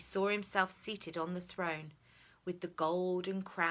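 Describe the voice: Plain reading aloud keeps its intonation fairly even throughout.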